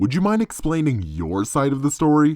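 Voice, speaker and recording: Putting on a character voice, a man speaks at a moderate pace with a fairly high pitch and very wide pitch swings. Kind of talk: TV host patter. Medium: read story.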